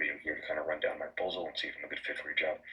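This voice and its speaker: A man mumbles at a very fast pace over noticeable background noise. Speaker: freelancer coach. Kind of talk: tutorial. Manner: mumbling.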